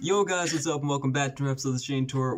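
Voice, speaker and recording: Noticeable background noise fills the clip. A man speaks through it. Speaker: podcast host. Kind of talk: casual chat. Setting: online call with delay. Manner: expressive.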